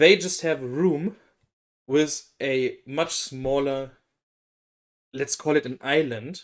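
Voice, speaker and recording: Speaking at a very slow pace in a German accent, a man with a fairly high pitch shows ordinary pitch variation. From Germany. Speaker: K-pop reaction youtuber. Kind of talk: casual reaction commentary.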